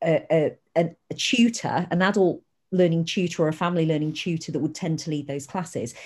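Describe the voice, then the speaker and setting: In a very clean recording with a silent background, a woman with a British accent speaks at a moderate pace in a very deep, low, somewhat breathy voice. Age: 40s. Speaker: family learning coach. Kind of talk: interview.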